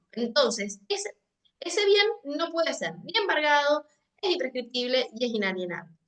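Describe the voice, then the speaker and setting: A woman's raised, projected high voice, bright and sharp, with very wide pitch swings at a fairly slow pace. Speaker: legal department staff giving training. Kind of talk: training lecture. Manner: hesitant, repeats words.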